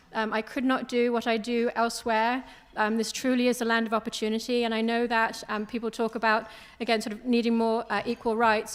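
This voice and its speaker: With a British accent, a woman speaks at a fairly quick pace. Her fairly high pitch stays monotone and flat. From international upbringing, partly British island. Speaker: business owner, investment firm CEO. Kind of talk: panel discussion.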